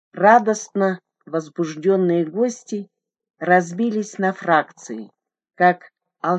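The surroundings are quiet. A text is read aloud in a natural voice, with pitch moving in an ordinary way.

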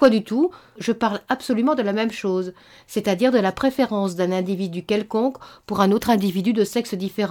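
The reading voice sounds unforced, and its pitch shifts in an ordinary way.

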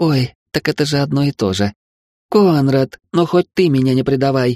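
A man puts on a character voice at medium pitch, with ordinary pitch variation, very even loudness, a moderate pace, and a dry, close sound with no echo. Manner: mock distress.

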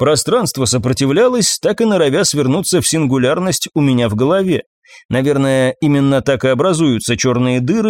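This is a natural reading voice with lively intonation. The background is quiet.

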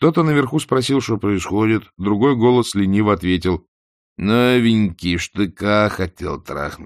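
Behind the voice, the background stays quiet. An unforced reading voice carries ordinary pitch variation.

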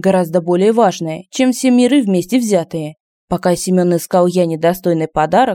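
The speaker is doing plain reading aloud against a quiet background.

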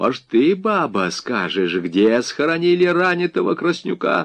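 Putting on a character voice, a man speaks fairly slowly at a fairly high pitch, with a fairly bright tone, big pitch swings and vocal fry.

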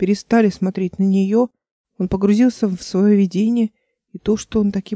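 Reading aloud in a natural voice, with fairly even intonation over a quiet background

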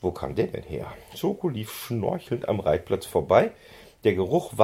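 A natural voice reading aloud.

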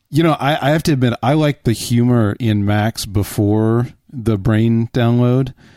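A man talks in an ordinary speaking voice at a medium pitch, fairly slowly and with hardly any pauses, his pitch varying in an ordinary way. Loudness stays very even on a very clean recording with a silent background. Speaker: podcast host. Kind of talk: casual chat.

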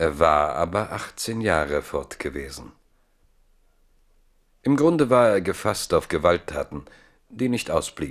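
A man is speaking. The recording is very clean, with a silent background.

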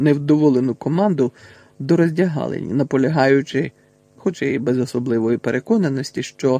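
Pitch variation is ordinary as the speaker reads aloud in a natural voice.

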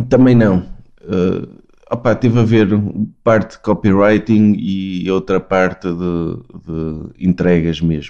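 A man with a very deep, low pitch and a dark, mellow tone, at a very slow pace with ordinary pitch variation. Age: 30s. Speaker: podcast guest. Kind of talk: casual chat. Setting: video call.

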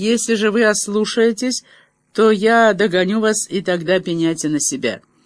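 Plain reading aloud with ordinary pitch variation, set against a quiet background.

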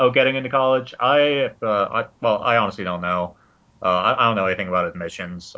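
Using a plain, everyday voice, a man speaks at a moderate pace. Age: 20s. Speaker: teaching instructor. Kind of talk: casual banter podcast.

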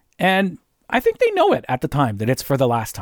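A man with a Canadian accent speaks at a very fast pace. The recording is very clean with a silent background and a dry, close sound with no echo. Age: 50s. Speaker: podcaster. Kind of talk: solo casual monologue. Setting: home recording. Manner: rambling, hesitant with fillers.

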